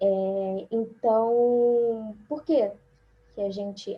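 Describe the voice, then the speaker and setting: Her intonation fairly even, a woman talks in a somewhat breathy voice. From Rio de Janeiro, Brazil. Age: 20s. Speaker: biomedical scientist and embryologist. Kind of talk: online forum presentation.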